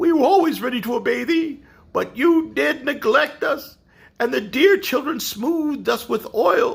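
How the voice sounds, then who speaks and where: In a put-on character voice pitched extremely high, a man talks at a moderate speed. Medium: read story.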